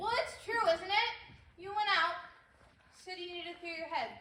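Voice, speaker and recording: A woman's squeaky put-on character voice rings at an extremely high pitch with a slight echo. She keeps a moderate pace and fairly even intonation, with big swings in loudness. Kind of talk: high school stage acting. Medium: stage play.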